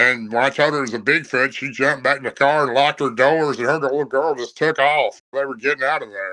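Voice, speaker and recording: Against a quiet background, a man races at a very fast pace with hardly any pauses, his tone bright and sharp and his intonation fairly even. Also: fairly high pitch for a man. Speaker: bigfoot researcher telling encounters. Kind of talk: storytelling interview.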